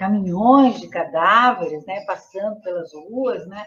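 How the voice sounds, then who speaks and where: A woman with a somewhat breathy voice speaks at a medium pitch and a fairly slow pace, with lively intonation. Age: 70s. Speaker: retired sociologist. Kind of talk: interview.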